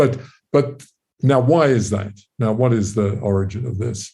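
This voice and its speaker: A man speaks in a fairly low, somewhat breathy voice. His tone is dark and mellow, with fairly even intonation. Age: 80s+. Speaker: physicist and author. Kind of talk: interview. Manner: halting, many fillers.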